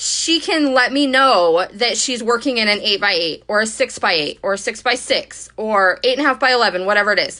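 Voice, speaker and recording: A woman's bright, sharp, fairly high voice, fairly quick and lively in intonation. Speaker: scrapbooking creator and cut-file subscription host. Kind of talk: live-stream Q&A with audience. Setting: live video stream on social media. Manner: fast; casual, chatty.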